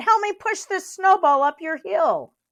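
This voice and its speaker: A woman puts on a squeaky character voice at an extremely high pitch, speaking at a moderate pace with ordinary pitch variation. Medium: read story.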